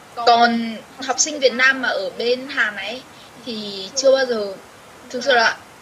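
A high-pitched woman talks while noticeable background noise plays underneath. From Vietnam. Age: 20s. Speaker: university student abroad. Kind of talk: interview.

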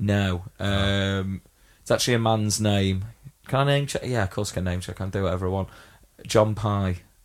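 In a very clean recording with a silent background, the speaker talks at a moderate pace with fairly even intonation in an English accent. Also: man, fairly low pitch for a man. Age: 30s. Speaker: podcast co-host. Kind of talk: casual chat.

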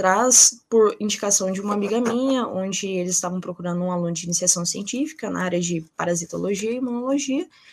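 Fairly quick and lively in intonation, a woman speaks in a normal speaking voice with a medium pitch. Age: 20s. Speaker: nursing student and researcher. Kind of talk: interview.

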